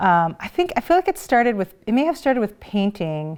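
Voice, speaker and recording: There is music in the background. A woman talks over it. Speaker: interviewee's child. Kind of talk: interview answer.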